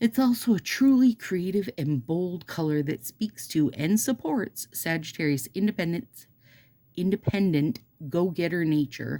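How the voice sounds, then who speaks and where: In a Minnesotan accent, a woman speaks at a fairly slow pace with a dark, mellow tone. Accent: Minnesota. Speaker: nail polish seller and YouTuber. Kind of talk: casual chat with reading aloud. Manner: animated.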